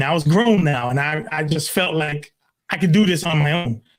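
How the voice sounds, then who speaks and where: A man with a New York accent speaks at a moderate pace with ordinary pitch variation. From Brooklyn, New York. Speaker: pastor. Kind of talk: testimony. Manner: halting.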